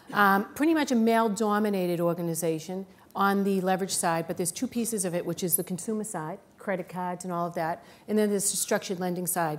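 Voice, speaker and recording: A woman with a Boston accent at medium pitch, at a very fast pace, with ordinary pitch variation. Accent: thick Boston. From Boston, US. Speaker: business executive. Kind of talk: panel discussion.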